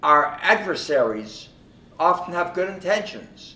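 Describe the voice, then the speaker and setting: Over noticeable background noise, a man with a fairly high voice speaks at a fairly slow pace. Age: 90s. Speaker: longtime supporter of the organization. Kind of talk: speech at a concert event. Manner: halting, with repetitions.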